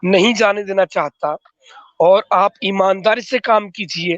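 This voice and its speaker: Recorded with a dry, close sound and no echo, a man talks at a very slow pace. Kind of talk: heated debate.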